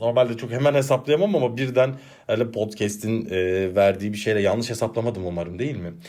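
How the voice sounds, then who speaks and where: A man's medium-pitched voice, with ordinary variation in pitch, moves at a fairly quick pace. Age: 30s. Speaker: podcast host and teacher. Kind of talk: casual solo monologue. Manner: animated, laughing.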